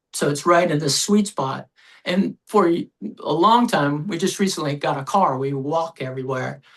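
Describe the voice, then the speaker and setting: With an American accent, a man speaks at a moderate pace in a high voice that rises and falls in an ordinary way. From US Midwest. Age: 70s. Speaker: actor and screenwriter. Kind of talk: interview.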